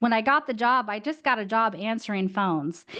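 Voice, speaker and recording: This woman has an ordinary speaking voice, fairly high in pitch, at a moderate pace against a quiet background. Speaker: marketing consultant and guest speaker. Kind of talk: webinar talk.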